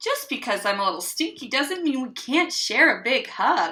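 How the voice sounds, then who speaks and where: A woman's put-on character voice, high in pitch, with very wide pitch swings. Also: moderate pace. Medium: read story.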